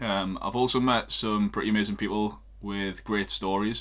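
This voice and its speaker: Speaking with a Geordie accent, a man uses a fairly low pitch and a bright, sharp tone. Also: very clean recording, silent background. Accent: Geordie (Newcastle). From northeast England, Newcastle. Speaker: photographer and cycling vlogger. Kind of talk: casual vlog. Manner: hesitant, many filler ums.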